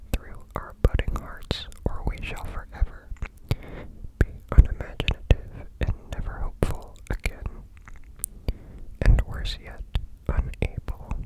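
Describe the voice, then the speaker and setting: Someone whispers in a gentle tone at a fairly slow pace, with long, frequent pauses over noticeable background noise. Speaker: ASMR content creator. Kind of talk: ASMR reading, sleep. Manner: gentle, whispered.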